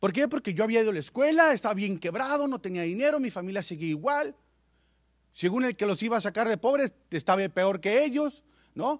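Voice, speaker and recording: Fairly quick, animated delivery with very wide pitch swings, a dry, close sound with no echo, and a very clean recording with a silent background. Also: man, high pitch for a man. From Mexicali, Baja California, Mexico. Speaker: business presenter. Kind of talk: sales pitch. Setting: stage with audience.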